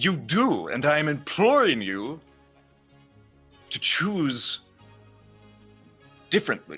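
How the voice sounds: In a put-on character voice, a man speaks slowly with a bright, sharp tone, a gravelly sound, a slightly husky edge and big pitch swings, while faint music plays in the background. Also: fairly high pitch for a man.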